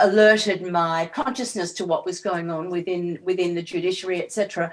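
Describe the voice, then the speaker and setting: At a moderate pace, a woman with an Australian accent talks with ordinary pitch variation. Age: 70s. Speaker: political activist. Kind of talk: interview.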